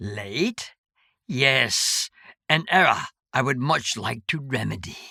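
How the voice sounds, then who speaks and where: Someone performs a put-on character voice at a low-to-middle pitch. The delivery is fairly slow. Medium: read story. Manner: cryptic, oddly formal.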